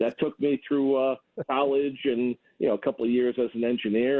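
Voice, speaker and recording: Words come from a man at a very fast pace. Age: 60s. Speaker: caller, engineer and small engine hobbyist. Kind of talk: phone call-in chat. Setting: phone call.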